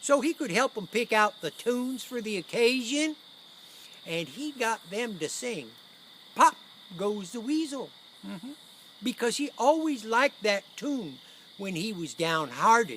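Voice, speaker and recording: A put-on character voice drawls at a fairly high pitch and moderate pace, with long, frequent pauses. Clear background noise runs underneath. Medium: stage play. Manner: folksy, rambling, drawling.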